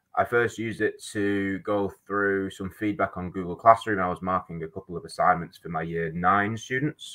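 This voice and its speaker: A man's fairly low, bright, sharp voice with a Manchester accent, ordinary pitch variation and a quiet background. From Manchester, England. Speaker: high school teacher. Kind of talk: webinar talk. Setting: video call.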